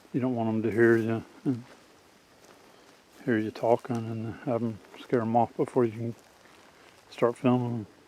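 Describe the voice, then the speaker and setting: A soft-spoken man with a medium pitch talks at a moderate pace in a monotone, flat intonation. He leaves long, frequent pauses. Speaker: outdoors tracking hobbyist. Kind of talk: outdoor tutorial vlog. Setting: outdoors in woods. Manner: soft-spoken, quiet; halting with fillers.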